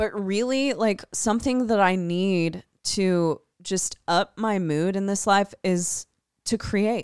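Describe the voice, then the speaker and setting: Recorded dry and close with no echo, a woman speaks at a very slow pace. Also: medium pitch for a woman, ordinary pitch variation, very clean recording, silent background. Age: 30s. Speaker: podcast co-host, band vocalist. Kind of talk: casual chat.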